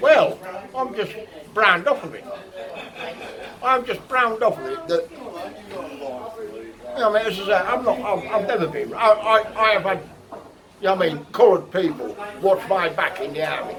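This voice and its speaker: Crowd noise fills the background as a man speaks in a high voice with lively intonation at a moderate pace. His loudness swings widely, pauses are long and frequent, and the room echoes audibly. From England. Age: 60s. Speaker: local resident interviewed in the street, army veteran. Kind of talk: vox pop interview. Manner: animated.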